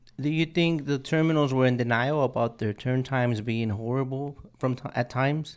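A man's medium-pitched voice, an ordinary speaking voice, at a moderate pace with fairly even intonation. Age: 30s. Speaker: podcast host. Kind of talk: interview conversation. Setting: studio.

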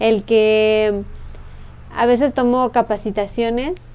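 A woman's fairly high, dark and mellow voice, very slow in pace, with fairly even intonation. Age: 20s. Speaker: entrepreneur. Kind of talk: interview.

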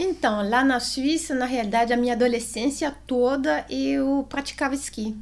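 A woman with a Swiss French accent speaks at a high pitch with ordinary pitch variation. She leaves hardly any pauses. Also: moderate pace. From Switzerland. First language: French (speaking Portuguese). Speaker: amateur cyclist and real estate agent. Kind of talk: casual interview.

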